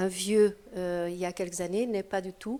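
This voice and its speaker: A woman speaks at a moderate pace and medium pitch. Her tone is dark and mellow, her intonation fairly even. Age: 60s. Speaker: participant at a public discussion on old age. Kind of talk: group discussion. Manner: halting.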